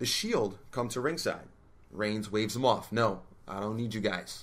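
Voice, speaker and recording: There is audible room echo as a man talks at a moderate pace. His pitch is fairly low, with ordinary variation. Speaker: wrestling podcast co-host. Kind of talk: casual podcast discussion. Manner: animated.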